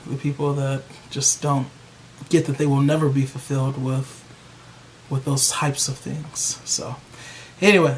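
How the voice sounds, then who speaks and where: A man talks over noticeable background noise. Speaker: YouTube hair care vlogger. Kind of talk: casual vlog talk to camera. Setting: at home with a bag over his hair. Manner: loud.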